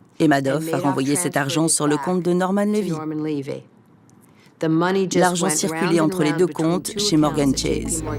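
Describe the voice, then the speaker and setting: A woman at a very deep, low pitch and a fairly slow pace, with fairly even intonation, very even loudness and long, frequent pauses, over music in the background. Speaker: voice actor. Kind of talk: documentary voice-over.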